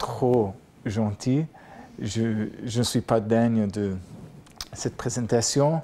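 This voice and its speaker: A man with an American accent speaks at a medium pitch, his intonation fairly even. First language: English (speaking French). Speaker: professor. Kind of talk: lecture.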